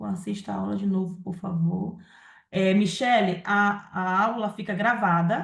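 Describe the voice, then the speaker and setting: Her voice is somewhat breathy and sits at a medium pitch. This woman's pitch varies in an ordinary way. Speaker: live session host and moderator. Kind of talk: live Q&A and event announcements. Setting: live stream.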